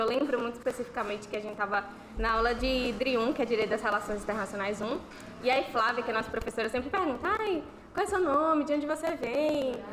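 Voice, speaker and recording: Music plays in the background while the voice moves with ordinary pitch variation. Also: woman. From Bahia, Brazil. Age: 20s. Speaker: university student. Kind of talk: casual chat. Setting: live stream with panel.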